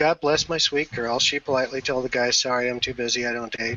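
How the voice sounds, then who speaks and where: A man's medium-pitched voice at a fairly quick pace, with noticeable background noise. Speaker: community leader. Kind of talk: casual chat.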